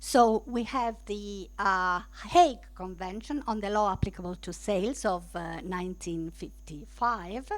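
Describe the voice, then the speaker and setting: Audible room echo surrounds this woman's voice. She speaks at a fairly slow pace with hardly any pauses. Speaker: law lecturer. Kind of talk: lecture. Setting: lecture room with streaming. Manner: halting.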